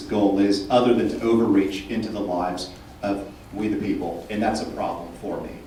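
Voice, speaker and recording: A man speaks with a Texan accent and fairly even intonation. Noticeable background noise and audible room echo accompany him. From Texas, Houston. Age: 30s. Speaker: political candidate. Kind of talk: candidate forum answers. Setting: candidate forum with audience.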